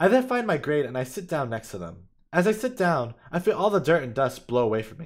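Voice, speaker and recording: A man's voice shows vocal fry and very wide pitch swings. The recording is very clean, with a silent background. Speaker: streamer reading own stories. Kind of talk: reading aloud. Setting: live stream. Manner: halting, with fillers and repeats.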